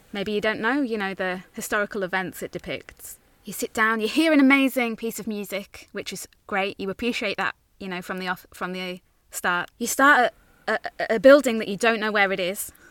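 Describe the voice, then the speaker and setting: Recorded very cleanly against a silent background, the dry, close sound has no echo, and a woman speaks at a moderate pace with big swings in loudness. Hers is an unremarkable speaking voice, fairly high in pitch, with ordinary pitch variation. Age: 30s. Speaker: podcast co-host. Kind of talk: casual chat.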